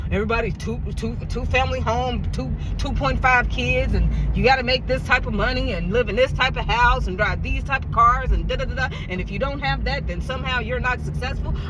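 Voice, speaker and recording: A man in an animated tone at a fairly quick pace with hardly any pauses, with audible room echo and noticeable background noise. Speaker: vlogger. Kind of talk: casual monologue. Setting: in a car. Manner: loud.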